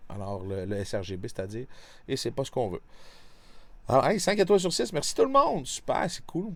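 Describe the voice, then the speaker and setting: With very wide pitch swings at a medium pitch, a man talks at a fairly quick pace broken by long, frequent pauses, in a very clean recording with a silent background. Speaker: 3D animation teacher. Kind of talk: lecture. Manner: fast; halting.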